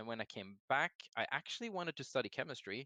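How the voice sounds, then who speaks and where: A man with a Norwegian accent talks at a fairly quick pace in a bright, sharp tone. The background is quiet. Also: dry, close sound with no echo. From Norway. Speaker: game designer. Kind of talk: casual interview.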